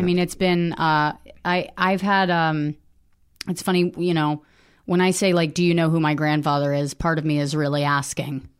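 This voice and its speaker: Someone with an American accent speaks at a moderate pace in an unremarkable speaking voice, with fairly even intonation and very even loudness. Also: woman, fairly low pitch for a woman, quiet background. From US, wealthy area. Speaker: comedian and writer. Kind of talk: personal testimony interview.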